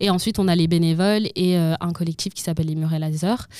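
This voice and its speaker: A woman's fairly low, dark, mellow voice with fairly even intonation at a moderate pace, on a very clean recording with a silent background. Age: 20s. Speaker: civic service volunteer at an arts association. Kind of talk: interview. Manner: hesitant, many fillers.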